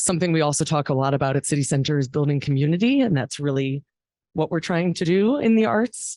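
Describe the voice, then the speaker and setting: A woman talks very fast with lively intonation and a dark, mellow, shaky tone at a very deep, low pitch, her loudness very even and the sound dry and close with no echo over a quiet background. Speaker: arts fundraising executive. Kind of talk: memorial speech. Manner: shaky voice.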